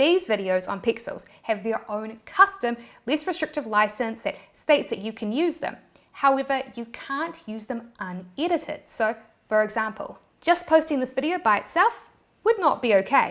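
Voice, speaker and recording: A woman with a New Zealand accent sounds animated, speaking at a moderate pace on a very clean recording with a silent background. Her high pitch swings very widely. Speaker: YouTube creator. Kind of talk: tutorial.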